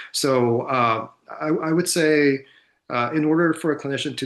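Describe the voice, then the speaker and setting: A man with a Korean accent talks with ordinary pitch variation. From South Korea. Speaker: psychiatrist and researcher. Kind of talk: conference panel Q&A. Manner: halting, many fillers and repeats.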